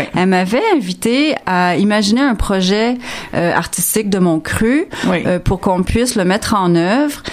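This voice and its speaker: A woman speaks at a very slow pace. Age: 50s. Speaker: interdisciplinary artist. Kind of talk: radio interview. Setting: studio.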